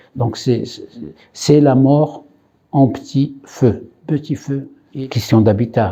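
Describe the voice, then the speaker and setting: Very slowly, a man speaks with a dark, mellow tone. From Morocco (Khouribga). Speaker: immigrant rights activist. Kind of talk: interview testimony. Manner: hesitant, many fillers.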